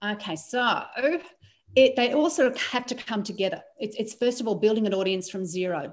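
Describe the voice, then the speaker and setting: An unremarkable speaking voice with lively intonation at a fairly quick pace. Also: woman, fairly high pitch for a woman. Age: 50s. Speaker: transformation coach. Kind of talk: casual chat.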